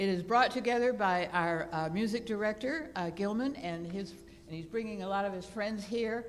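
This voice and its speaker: A woman at a medium pitch and moderate pace, with ordinary pitch variation and audible room echo. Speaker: church service leader giving announcements. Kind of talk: church announcements. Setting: church sanctuary with congregation. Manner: halting, with many fillers; enthusiastic.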